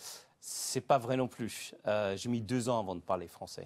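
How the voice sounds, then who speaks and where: A man at a very slow pace with ordinary pitch variation, on a very clean recording with a silent background. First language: Greek (speaking French). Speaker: entrepreneur, language school founder. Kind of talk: interview. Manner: hesitant, many filler sounds.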